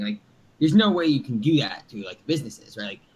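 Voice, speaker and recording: The man's voice sits fairly high. It sounds somewhat breathy. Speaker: startup founder. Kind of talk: casual interview chat. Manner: fast, with many fillers and restarts.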